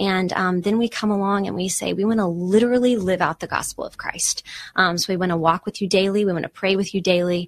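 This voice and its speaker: Words come at a very fast pace with an American accent and fairly even intonation. The sound is dry and close with no echo, over a quiet background. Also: woman, medium pitch for a woman. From East Texas. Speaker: nonprofit ministry worker. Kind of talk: interview.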